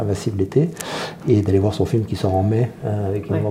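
A man at a fairly low pitch and fairly quick pace, with ordinary pitch variation and noticeable background noise. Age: 50s. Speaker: entrepreneur. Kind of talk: casual chat.

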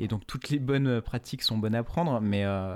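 A silent background makes this recording very clean. The man's pitch is medium and varies ordinarily. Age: 30s. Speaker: fashion entrepreneur. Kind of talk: interview. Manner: halting, many fillers and repetitions.

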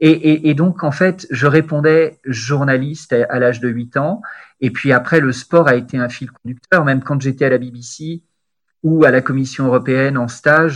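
Fairly slow and fairly even in intonation, a man speaks with fairly high pitch in an unremarkable speaking voice. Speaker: sports journalist turned corporate spokesman. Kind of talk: interview conversation.

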